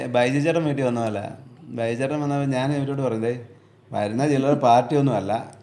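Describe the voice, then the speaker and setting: A man speaks at a medium pitch with fairly even intonation. There is audible room echo and noticeable background noise. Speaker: truck driver. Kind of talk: casual chat.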